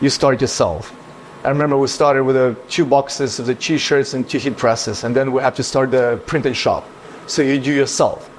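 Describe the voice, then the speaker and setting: A man at a medium pitch, talking at a fairly quick pace with fairly even intonation, over noticeable background noise. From Ukraine. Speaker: business owner. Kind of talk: casual chat.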